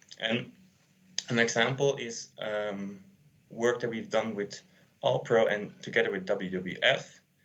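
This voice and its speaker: With audible room echo, a man at a medium pitch talks at a fairly slow pace, using fairly even intonation and taking long, frequent pauses. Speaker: sustainability consultant. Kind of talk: conference talk.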